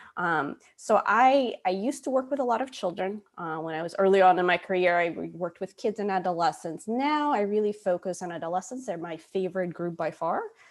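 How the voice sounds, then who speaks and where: With a plain, everyday voice, a woman speaks at a fairly quick pace and medium pitch, using lively intonation and hardly any pauses. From US, moved from Moscow at eleven. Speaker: psychologist. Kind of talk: webinar presentation.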